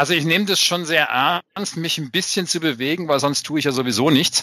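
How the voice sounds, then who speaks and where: Talking at a very fast pace, a man with a fairly high pitch and a bright, sharp tone uses ordinary pitch variation. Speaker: podcast co-host. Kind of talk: casual chat.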